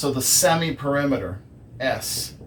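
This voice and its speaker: A man talks at a very slow pace. Noticeable background noise and audible room echo surround him. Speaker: math teacher. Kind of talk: lecture. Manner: many fillers.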